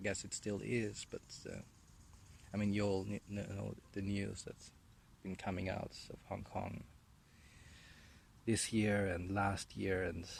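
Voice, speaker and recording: With a German accent, a man talks at a fairly slow pace in a fairly low, somewhat breathy voice, his intonation monotone and flat, broken by long, frequent pauses. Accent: German accent in English, generic European. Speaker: vlogger. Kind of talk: casual monologue while walking. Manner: halting with many fillers and repetitions.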